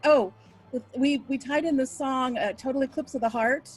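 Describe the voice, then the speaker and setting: Over noticeable background noise, a woman speaks at a moderate pace in a high voice. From Oklahoma. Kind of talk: interview answer. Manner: casual, chatty.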